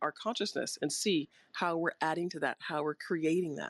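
A woman talks at a fairly quick pace, with a fairly low pitch and ordinary pitch variation. The sound is dry and close with no echo, over a quiet background. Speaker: mental performance coach and holistic healer. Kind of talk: motivational talk. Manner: soft-spoken.

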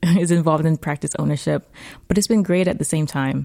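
At a fairly quick pace, a woman speaks with a very deep, low pitch and a dark, mellow tone. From Jamaica, Mandeville. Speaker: orthodontist. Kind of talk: casual chat.

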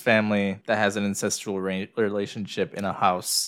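A man with an American accent speaks at a moderate pace in a fairly low pitch, a plain, everyday voice, on a very clean recording with a silent background. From United States. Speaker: podcast co-host. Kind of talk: casual chat. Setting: recording in their new house.

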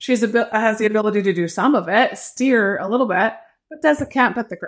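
A woman with a normal speaking voice talks at a fairly quick pace with fairly high pitch and ordinary pitch variation, on a very clean recording with a silent background. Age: 50s. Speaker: life coach. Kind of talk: interview.

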